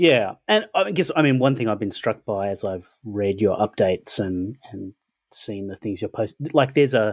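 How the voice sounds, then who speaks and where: In a very clean recording with a silent background, a man speaks at a medium pitch with lively intonation, and the sound is dry and close with no echo. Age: 40s. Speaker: podcast co-host. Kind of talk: casual chat.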